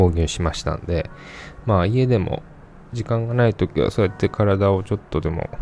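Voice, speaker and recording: Relaxed in tone, a man speaks at a moderate pace with a fairly low pitch and ordinary pitch variation. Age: 30s. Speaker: podcast host. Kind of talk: casual solo podcast talk.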